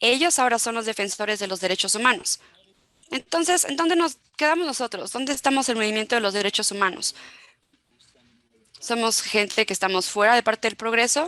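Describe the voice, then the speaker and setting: This voice has a bright, sharp tone. It moves at a fairly quick pace. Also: woman, fairly high pitch for a woman. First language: not Spanish (speaking Spanish). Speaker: human rights expert. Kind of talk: panel talk. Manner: halting, many fillers and restarts.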